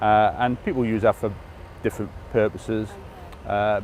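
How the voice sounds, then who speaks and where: A man with an English accent, a fairly low pitch, ordinary pitch variation and a moderate pace. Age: 50s. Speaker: former politician and charity walker. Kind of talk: interview.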